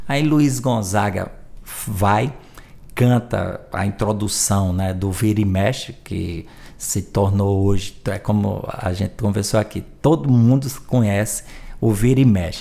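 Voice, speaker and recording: A man's very slow, fairly low voice with ordinary pitch variation, a dark, mellow tone and a strong northeastern Brazilian accent. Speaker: journalist and music researcher. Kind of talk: podcast interview, storytelling.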